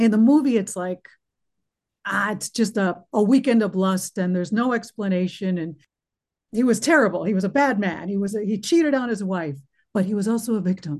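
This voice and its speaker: A slightly breathy woman's voice at medium pitch with an American accent, fairly quick pace and lively intonation. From United States. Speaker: actress. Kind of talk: casual chat. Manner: animated.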